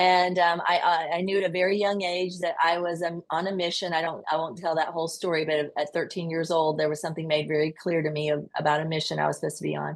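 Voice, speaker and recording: Speaking at a very fast pace with hardly any pauses, a woman with a Southern US accent uses a fairly low pitch and monotone, flat intonation. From US South, rural Georgia. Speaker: nurse and podcast guest. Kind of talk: interview.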